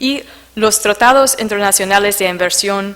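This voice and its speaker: A woman speaks at a fairly slow pace with a non-native accent, her pitch medium and her intonation fairly even. Noticeable background noise runs behind her. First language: not Spanish (speaking Spanish). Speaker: conference speaker on investment arbitration. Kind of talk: conference presentation. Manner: halting, many fillers.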